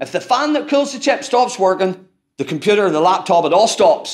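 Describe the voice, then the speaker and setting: A man with a strong Irish accent speaks using lively intonation. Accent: broad Irish. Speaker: lighting industry technical manager. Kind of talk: technical presentation to audience. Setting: stage with audience. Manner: conversational, interactive.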